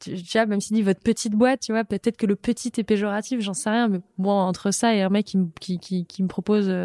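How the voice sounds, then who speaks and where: Recorded dry and close with no echo, a woman speaks at a medium pitch in a dark, mellow tone with fairly even intonation. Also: very clean recording, silent background. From provincial France. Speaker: startup founder and CEO. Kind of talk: interview.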